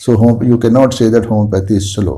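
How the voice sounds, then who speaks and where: With an Indian accent, a man speaks at medium pitch in a dark, mellow, somewhat breathy tone with fairly even intonation, and audible room echo surrounds him. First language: Hindi. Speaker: homeopathy doctor and teacher. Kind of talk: lecture. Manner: halting.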